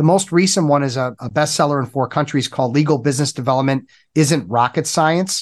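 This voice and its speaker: A man's ordinary speaking voice, fairly high and fairly quick, with ordinary pitch variation, over a quiet background. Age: 50s. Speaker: business coach for lawyers. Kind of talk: interview.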